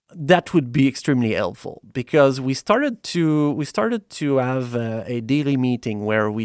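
A man with a Quebec accent in a very clean recording, silent background, and a dry, close sound with no echo. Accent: Québécois French. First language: French. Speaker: software founder. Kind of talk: casual chat.

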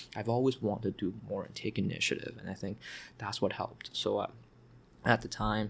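A man's fairly low-pitched voice comes across as somewhat breathy. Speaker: tech company director and founder. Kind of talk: casual interview conversation.

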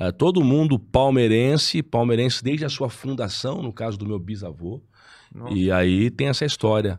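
A man with an ordinary speaking voice talks at a moderate pace in a medium pitch, with lively intonation. The recording is very clean, with a silent background. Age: 30s. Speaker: federal deputy, politician. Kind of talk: casual chat.

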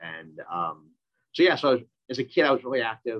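A man talks at a fairly quick pace, his pitch swinging very widely. The sound is dry and close, with no echo. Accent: American. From US Midwest, Minneapolis, Minnesota. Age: 30s. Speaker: Paralympic athlete. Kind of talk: casual interview.

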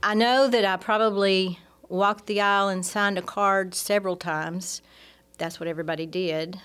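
A woman with a Southern US accent, medium pitch, fairly even intonation and moderate pace, on a very clean recording with a silent background. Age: 60s. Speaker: church staff member. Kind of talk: testimony. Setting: studio.

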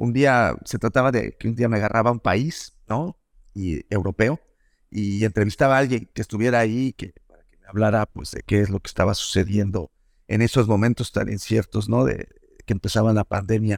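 In a very clean recording with a silent background and a dry, close sound free of echo, a man with a fairly low pitch speaks at a moderate pace, using ordinary pitch variation and big swings in loudness. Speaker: journalist and podcast producer. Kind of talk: interview. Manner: halting.

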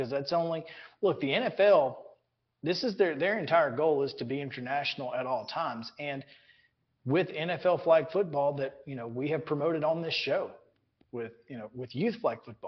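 An ordinary speaking voice from a man, fairly high in pitch, at a moderate pace with big swings in loudness. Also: lively intonation. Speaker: sports radio host. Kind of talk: casual sports talk.

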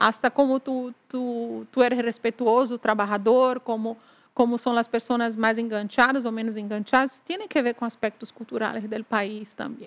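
With a dry, close sound and no echo, a woman speaks at a moderate pace in a monotone, flat intonation. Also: fairly high pitch for a woman. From Brazil, Salvador de Bahia (northeast). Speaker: business executive. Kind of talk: interview conversation.

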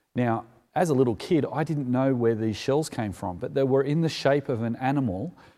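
A man with an Australian accent speaks at a moderate pace in a medium pitch, his dark, mellow tone carried by lively intonation on a very clean recording with a silent background. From Sydney, Sutherland Shire. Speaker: preacher. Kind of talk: sermon.

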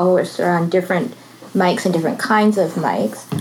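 With a Canadian accent, a woman speaks at a very fast pace against noticeable background noise. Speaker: podcast host and meetup moderator. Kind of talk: moderated panel discussion. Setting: live meetup in a comic book store.

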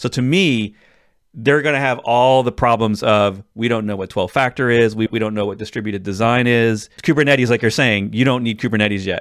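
In a very clean recording with a silent background, a man talks in a normal speaking voice at a medium pitch with ordinary pitch variation. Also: fairly quick pace. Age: 40s. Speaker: tech podcast host. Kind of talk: casual chat.

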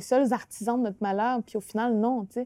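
On a very clean recording with a silent background, a woman with a dark, mellow tone speaks at a fairly quick pace. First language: Innu (speaking French). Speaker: author and actress. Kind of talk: interview. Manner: halting, many repetitions.

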